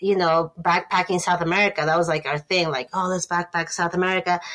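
A woman speaks with a Spanish accent at a fairly low pitch. Her pace is fairly quick. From Ecuador, Quito. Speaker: photographer. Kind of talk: interview.

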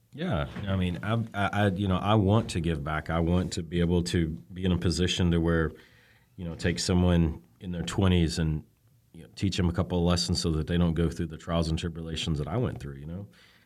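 Talking at a fairly quick pace, a man with an Alabama accent has a very deep, low pitch and fairly even intonation. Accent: Southern US (Alabama). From US South, Birmingham, Alabama. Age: 40s. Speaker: telecom executive. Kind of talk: interview.

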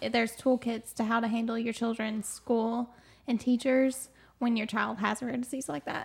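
A woman with a plain, everyday voice and an American accent speaks at a moderate pace, fairly high in pitch, with fairly even intonation. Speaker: rare disease patient advocate. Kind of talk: casual interview.

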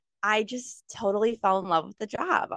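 A woman with an American accent has a normal speaking voice and ordinary pitch variation. She talks at a moderate pace in a dry, close sound with no echo. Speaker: firefighter and paramedic. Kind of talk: interview.

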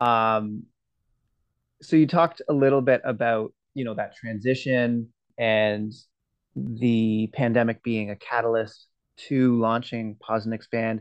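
There are long, frequent pauses as a man talks at a fairly slow pace in a medium pitch. His intonation stays fairly even against a quiet background. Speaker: podcast host. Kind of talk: interview conversation.

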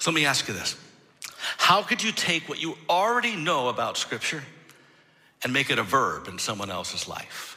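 With an American accent, a man speaks at a moderate pace in a fairly high voice with a bright, sharp tone, vocal fry, very wide pitch swings and long, frequent pauses. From Michigan. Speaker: pastor. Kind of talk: sermon. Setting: church.

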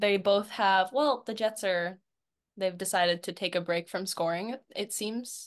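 A woman with a Canadian accent speaks at a fairly slow pace and medium pitch, in a plain, everyday voice. Her pitch variation is ordinary, and the background is quiet. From Canada. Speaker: hockey fan and social media personality. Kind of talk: casual chat.

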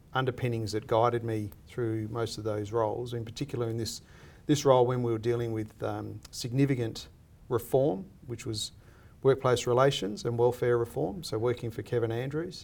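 At a moderate pace, a man with an Australian accent talks in a medium pitch with fairly even intonation. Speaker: lecturer and former political adviser. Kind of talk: interview.

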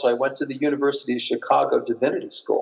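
The speaker has an American accent and moves at a fairly quick pace. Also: man. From US Northeast (Long Island, New York). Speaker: professor. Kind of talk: interview.

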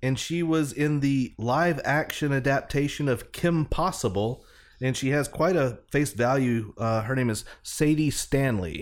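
The recording is very clean, with a silent background, as a man with an unremarkable speaking voice talks at a fairly high pitch. He goes at a fairly slow pace with hardly any pauses, ordinary pitch variation and very even loudness. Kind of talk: mock-solemn radio DJ patter, parody beer-check-in segment.

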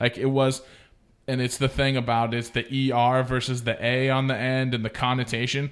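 This man has an ordinary speaking voice with an American accent and talks at a moderate pace. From Oregon, small town. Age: 30s. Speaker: podcast host, former radio broadcaster. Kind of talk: casual chat. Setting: studio.

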